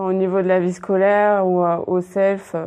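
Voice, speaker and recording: A woman speaks at a fairly slow pace in a medium pitch, her intonation monotone and flat and her tone dark and mellow. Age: 20s. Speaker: school supervisor. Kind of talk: interview.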